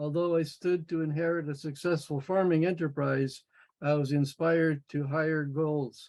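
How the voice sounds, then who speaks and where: Monotone, flat delivery in a Canadian accent, at a moderate pace with very even loudness. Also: man, fairly high pitch for a man. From Manitoba, Canada. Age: 70s. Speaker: workshop participant, former priest. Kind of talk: personal life story.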